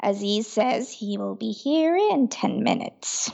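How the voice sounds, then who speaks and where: Using a put-on character voice, a woman speaks at a fairly slow pace and a fairly high pitch. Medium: audio drama.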